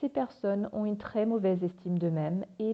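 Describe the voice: The woman's pitch varies in an ordinary way.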